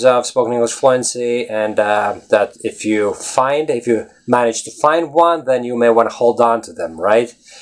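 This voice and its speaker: Speaking with a Latvian accent, a man talks at medium pitch and a moderate pace. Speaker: English teacher. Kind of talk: casual video blog. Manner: animated.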